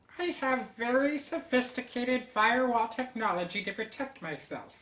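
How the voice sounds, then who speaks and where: A female-sounding voice does a put-on character at a moderate pace, pitched high for a woman. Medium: audio drama. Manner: precise, formal.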